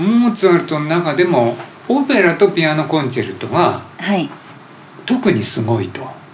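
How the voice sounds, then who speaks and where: A man with a high voice speaks at a moderate pace, his pitch swinging very widely, with audible room echo and noticeable background noise. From Japan, Hamamatsu (Shizuoka). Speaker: podcast host. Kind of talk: casual interview.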